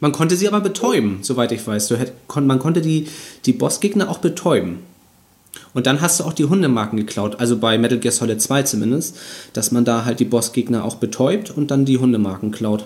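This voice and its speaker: A man with an ordinary speaking voice, medium in pitch, lively in intonation and at a fairly quick pace. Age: 30s. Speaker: video game podcast host. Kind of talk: casual chat.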